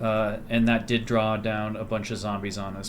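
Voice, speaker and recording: Against noticeable background noise and audible room echo, a man speaks at a medium pitch and a moderate pace. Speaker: gaming video creator. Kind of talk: let's play commentary. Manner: quiet, keeping voice down; casual, conversational.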